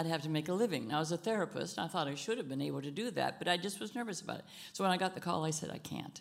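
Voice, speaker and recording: Very fast speech from a woman, fairly low-pitched, with vocal fry and lively intonation. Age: 80s+. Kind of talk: inspirational talk.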